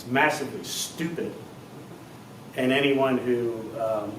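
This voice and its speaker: A man at a medium pitch with ordinary pitch variation, with audible room echo and noticeable background noise. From Maryland, Washington County. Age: 40s. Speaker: political candidate. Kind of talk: town hall Q&A. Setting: town hall meeting.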